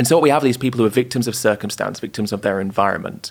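A man's voice with vocal fry. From northern England, York. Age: 20s. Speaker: animal rights activist and author. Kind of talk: interview.

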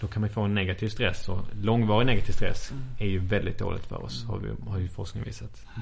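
A man with a Scanian accent at a very fast pace, with hardly any pauses. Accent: Skåne. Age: 20s. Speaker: neuroscience student and lecturer. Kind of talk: interview.

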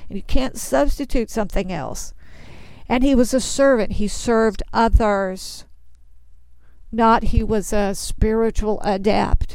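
In a Texas accent, a woman talks at a fairly slow pace with a fairly high pitch. The recording is very clean, with a silent background. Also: ordinary pitch variation. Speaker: Bible teacher. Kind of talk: sermon.

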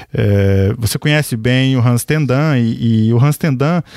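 At a fairly slow pace, a man talks with medium pitch and ordinary pitch variation, the sound dry and close with no echo, with noticeable background noise. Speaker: podcast host. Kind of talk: interview.

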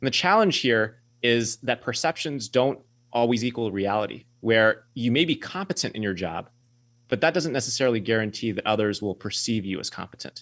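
A man with a normal speaking voice, medium pitch and a fairly quick pace. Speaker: career adviser and author. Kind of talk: radio interview.

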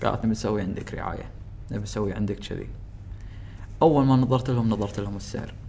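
A man talks at a fairly quick pace but leaves long, frequent pauses. His voice is fairly low, with a dark, mellow tone. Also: ordinary pitch variation. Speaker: YouTuber. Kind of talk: casual chat.

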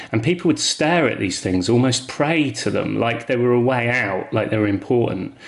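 Through noticeable background noise, a man with a southern English accent talks at a fairly quick pace, his pitch swinging very widely. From England. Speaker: artist. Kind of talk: interview.

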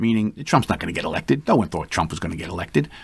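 A man does the talking. His recording is very clean, with nothing heard in the background. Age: 60s. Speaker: police lieutenant and podcast host. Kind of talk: political commentary monologue.

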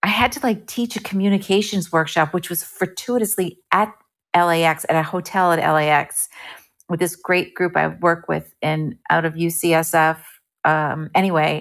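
A woman with an ordinary speaking voice, fairly low in pitch, at a moderate pace and with ordinary pitch variation. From New Jersey, US. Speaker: actress and improv performer. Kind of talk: casual interview.

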